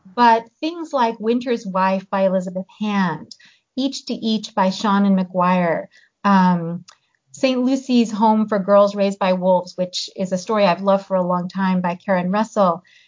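The voice is somewhat breathy and has ordinary pitch variation. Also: woman, medium pitch for a woman. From US. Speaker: novelist and professor. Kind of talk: interview.

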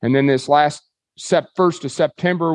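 In a Kansas accent, a man speaks with a fairly high pitch and fairly even intonation, the sound dry and close with no echo over a quiet background. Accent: rural US Plains (Kansas). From Kansas, Dodge City. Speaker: livestock auction owner. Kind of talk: casual interview.

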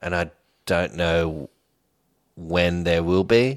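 A man with a very deep, low voice and an Australian accent, recorded very cleanly against a silent background. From Australia, Sydney (Homebush). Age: 30s. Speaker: drummer. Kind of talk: casual chat.

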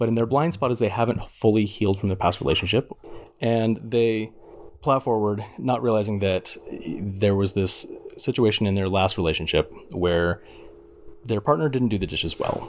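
A man speaks in a plain, everyday voice at a fairly low pitch. He keeps a moderate pace with ordinary pitch variation. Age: 30s. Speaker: dating podcast guest. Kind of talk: casual chat.

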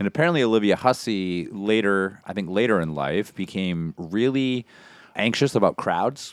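The speech has lively intonation and a moderate pace, with a dry, close sound, no echo, and a very clean recording over a silent background. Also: man. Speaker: podcast co-host. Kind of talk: casual chat.

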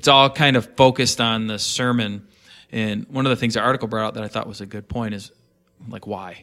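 On a very clean recording with a silent background, a man with a medium-pitched, bright, sharp tone speaks in fairly even intonation. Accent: American. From northern US. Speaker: pastor, podcast panelist. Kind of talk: panel discussion.

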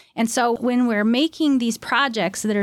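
In a very clean recording with a silent background, a woman with a plain, everyday voice speaks fairly quickly at a fairly high pitch, with fairly even intonation. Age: 50s. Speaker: art therapist and author. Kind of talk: interview.

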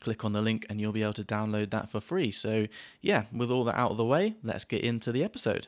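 Talking at a very fast pace, a man with a southern English accent keeps a medium pitch in a very clean recording with a silent background. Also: fairly even intonation. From southern England, small town near Southampton. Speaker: podcast host, English teacher. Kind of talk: podcast intro; casual chat.

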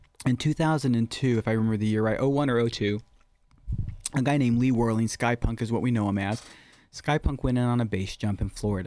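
Soft-spoken and with fairly even intonation, a man talks at a very fast pace on a very clean recording with a silent background. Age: 40s. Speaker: skydiving instructor. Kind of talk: casual chat.

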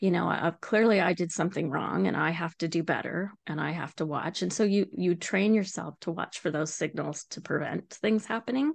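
A woman with a western Canadian accent and vocal fry, at a fairly quick pace with ordinary pitch variation, against a quiet background. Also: fairly low pitch for a woman. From Canada, Vancouver Island. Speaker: abuse survivor and advocate. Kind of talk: testimony.

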